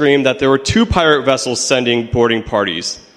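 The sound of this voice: This is a recording of speech. The delivery is an unforced reading voice.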